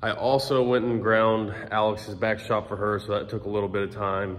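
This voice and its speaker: A man's unremarkable speaking voice, fairly low in pitch, with fairly even intonation, a moderate pace, and light background noise. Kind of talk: casual vlog chat. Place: workshop. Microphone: phone near.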